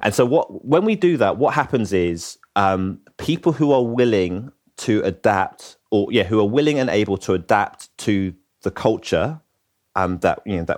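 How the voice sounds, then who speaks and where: Lively intonation in a London accent at a moderate pace, on a very clean recording with a silent background. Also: man. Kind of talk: interview. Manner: halting, many fillers.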